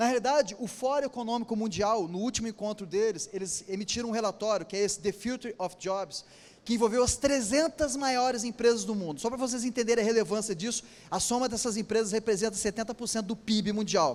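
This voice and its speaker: The voice moves at a fairly quick pace. Its pitch varies in an ordinary way. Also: man, high pitch for a man. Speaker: engineer and company founder giving a talk. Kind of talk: lecture. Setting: stage with audience at a trade fair. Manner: fast.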